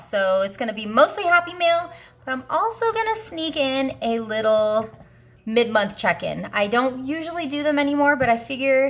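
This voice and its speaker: Upbeat in tone, a woman speaks at a moderate pace in a high voice with very wide pitch swings. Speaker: budgeting YouTuber. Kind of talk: casual talk to camera. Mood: warm, grateful, upbeat.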